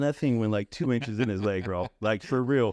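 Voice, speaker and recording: A man speaks at a medium pitch and a moderate pace, using a normal speaking voice with ordinary pitch variation. The sound is dry and close with no echo, over a quiet background. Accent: American. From California, Owens Valley (Bishop). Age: 40s. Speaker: local community figure and Facebook group admin. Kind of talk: casual interview. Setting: studio.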